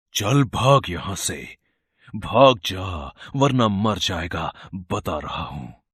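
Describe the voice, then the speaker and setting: A cartoonish character voice moves at a very slow pace. The recording is very clean, with a silent background. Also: man, fairly low pitch for a man. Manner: menacing.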